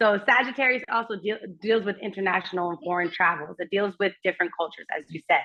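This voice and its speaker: Her pitch sits in the medium range. The woman talks at a very fast pace. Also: ordinary pitch variation. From Germany. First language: German. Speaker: astrologer and actress. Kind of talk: casual chat.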